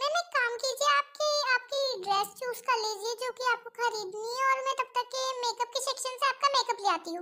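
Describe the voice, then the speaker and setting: Using a put-on character voice, a woman speaks at a fairly quick pace in an extremely high pitch with ordinary pitch variation. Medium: fan dub.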